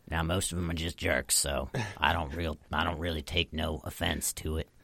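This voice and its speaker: In a put-on character voice, a man speaks raspy and very deep at a moderate pace. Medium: actual play. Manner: folksy, drawling.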